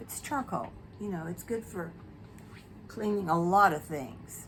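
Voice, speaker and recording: Audible room echo hangs around the voice. The delivery keeps a moderate pace. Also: woman. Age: 70s. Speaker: beauty vlogger. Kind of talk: casual chat. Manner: casual, hesitant with fillers.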